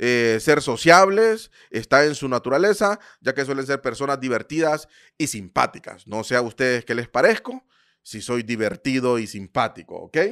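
A man speaks in a normal speaking voice at medium pitch and a moderate pace, his intonation lively. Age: 30s. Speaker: podcast host, import business coach. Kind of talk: live stream talk. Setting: live stream on social media.

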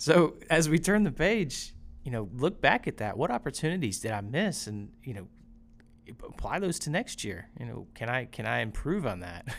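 Over a very clean recording with a silent background, a man speaks at a moderate pace with vocal fry, very wide pitch swings, and big swings in loudness. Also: medium pitch for a man. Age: 30s. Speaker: father of two. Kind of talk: casual chat.

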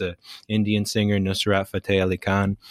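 A man's normal speaking voice at a fairly low pitch and moderate pace, with a dry, close sound, no echo and a very clean, silent background. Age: 20s. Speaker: podcast host. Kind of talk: casual chat.

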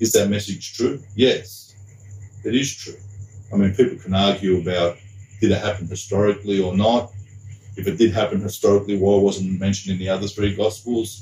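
A man with an Australian accent speaks at a fairly quick pace in a fairly low pitch. His dark, mellow tone is somewhat breathy, with monotone, flat intonation. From Sydney, Australia. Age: 50s. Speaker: deacon and school teacher. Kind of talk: casual interview chat.

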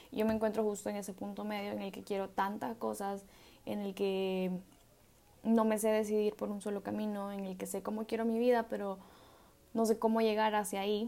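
Her voice is a woman's medium pitch with a dark, mellow tone. She speaks at a moderate pace in a monotone, flat intonation. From El Salvador. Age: 20s. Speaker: podcast host, medical student. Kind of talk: solo reflective monologue. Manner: casual, hesitant with fillers.

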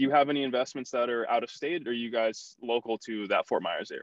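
At a fairly quick pace, a man speaks in an ordinary speaking voice with medium pitch and fairly even intonation. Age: young. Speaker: podcast host. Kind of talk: casual interview.

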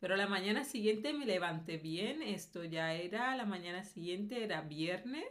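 A woman speaks at a moderate pace with lively intonation and hardly any pauses, and room echo is audible. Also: medium pitch for a woman. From Colombia. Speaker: video blogger. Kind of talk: personal testimony. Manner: hesitant, with fillers.

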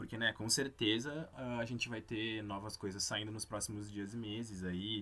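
A man's bright, sharp tone at a moderate pace with ordinary pitch variation. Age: 20s. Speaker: podcast host, journalist. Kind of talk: solo podcast monologue.

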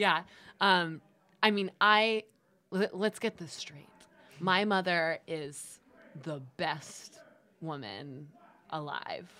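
Against a silent background in a very clean recording, a woman with an American accent speaks very slowly in a fairly low pitch and a bright, sharp tone, taking long, frequent pauses, with ordinary pitch variation and big swings in loudness. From Los Angeles, US. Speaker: actress and filmmaker. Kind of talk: casual chat.

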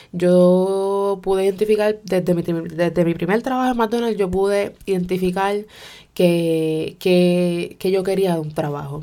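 A woman's medium-pitched voice in a dark, mellow tone, fairly slow in pace with fairly even intonation, on a very clean recording with a silent background. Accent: Puerto Rican. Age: 20s. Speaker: podcast host. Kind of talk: personal monologue. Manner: code-switching Spanish-English.

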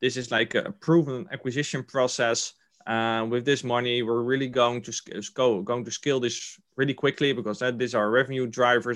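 A man with a Dutch accent speaks at a moderate pace and medium pitch, with hardly any pauses. His intonation is fairly even, and the background is quiet. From Netherlands, Rotterdam. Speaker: venture investor. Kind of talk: interview. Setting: video call. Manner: halting.

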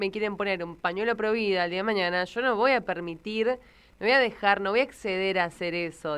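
A woman's plain, everyday voice at a medium pitch, with ordinary pitch variation and a fairly quick pace. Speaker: radio host. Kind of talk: radio talk show. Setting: radio studio.

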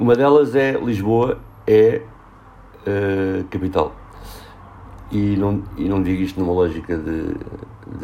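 Over noticeable background noise, a man talks at a fairly low pitch with ordinary pitch variation and long, frequent pauses. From Portugal, Lisbon. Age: 40s. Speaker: social worker and urban researcher. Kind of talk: casual interview.

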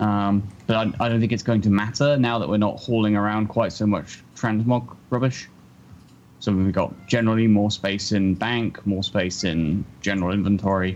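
A man with a southern English accent speaks at a moderate pace in a fairly low pitch. His pitch varies in an ordinary way, and his loudness stays very even. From southern England. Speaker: podcast co-host. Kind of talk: casual chat.

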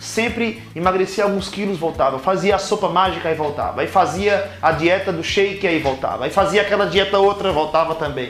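Amid noticeable background noise and audible room echo, a man speaks fairly quickly at a high pitch with hardly any pauses. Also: ordinary pitch variation. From Caruaru, Pernambuco, Brazil. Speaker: podcaster, weight loss author. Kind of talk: personal testimony monologue.

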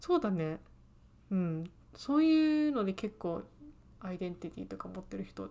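A woman speaks at a moderate pace. Her pauses are long and frequent. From England. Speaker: podcast co-host, aspiring screenwriter. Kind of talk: casual chat.

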